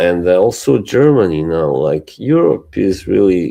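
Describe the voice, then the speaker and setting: A man with a very deep, low voice talks at a fairly slow pace, his intonation lively. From Bosnia and Herzegovina. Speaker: livestream co-host. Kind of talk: casual chat. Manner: halting.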